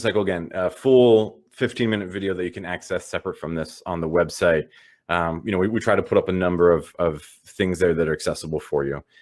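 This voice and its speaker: A man rattles along at a very fast pace in a fairly low pitch. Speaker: digital organizing trainer. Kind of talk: online training session. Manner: filler-heavy, repeats words.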